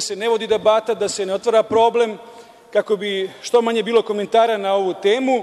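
At a very fast pace, a man speaks with a high pitch. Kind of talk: parliamentary speech. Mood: critical, argumentative. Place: hall. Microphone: podium.

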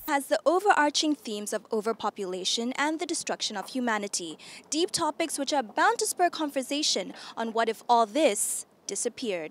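Dry with no echo, a woman's high-pitched voice moves at a fairly quick pace with very wide pitch swings. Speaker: news anchor. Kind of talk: TV news anchor delivery. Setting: TV studio.

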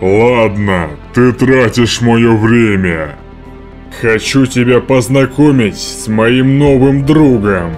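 Against clear music in the background, a man does a cartoonish character voice at a medium pitch and a fairly slow pace. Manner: menacing, gloating.

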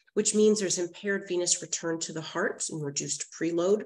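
A woman's ordinary speaking voice, fairly low in pitch, with ordinary pitch variation. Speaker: nurse practitioner lecturer. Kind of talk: lecture. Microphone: webcam.

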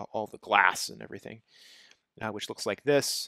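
A man speaks in a bright, sharp tone. The sound is dry with no echo. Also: quiet background. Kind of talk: tutorial. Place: home room.

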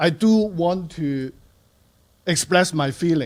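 This man has a high pitch and ordinary pitch variation. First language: not English. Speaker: resident giving public comment. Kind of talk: public comment at council meeting. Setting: city council meeting. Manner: halting.

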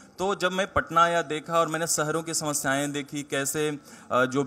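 The man talks at a fairly slow pace. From Bihar, India (Jehanabad district, rural); Bihar, India. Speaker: civil services exam topper; guest. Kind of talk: interview. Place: hall. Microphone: handheld.

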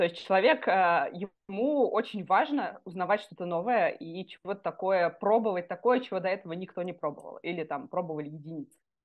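With lively intonation, a woman speaks at a moderate pace and a medium pitch in an unremarkable speaking voice. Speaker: neuroscientist. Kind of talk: casual interview.

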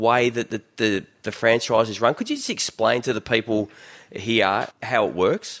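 In an Australian accent, a man speaks at a medium pitch on a very clean recording with a silent background. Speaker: sports podcast host. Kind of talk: casual chat.

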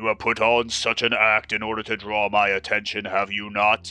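A booming, growling put-on character voice holds a monotone, flat intonation over faint music in the background. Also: man. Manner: snarling, thundering, furious.

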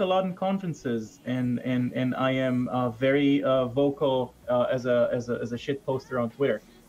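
Here a man talks with an Israeli accent. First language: Hebrew. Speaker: security researcher. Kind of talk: casual chat. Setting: video call. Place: home room.

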